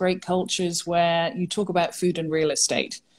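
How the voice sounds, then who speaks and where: A woman's medium-pitched voice, monotone with flat intonation. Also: very clean recording, silent background. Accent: English. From England. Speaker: real estate executive. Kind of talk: interview.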